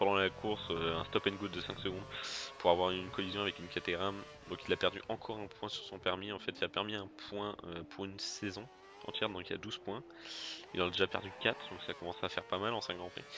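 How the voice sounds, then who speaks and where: A man's very fast speech, fairly low in pitch and fairly even in intonation, with music in the background. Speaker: gaming youtuber. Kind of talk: gameplay commentary. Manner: hesitant, many fillers.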